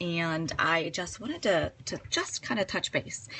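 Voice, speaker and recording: A woman's normal speaking voice, fairly low in pitch, at a fairly slow pace. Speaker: psychotherapist and coach. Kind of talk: live-stream talk. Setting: live video stream.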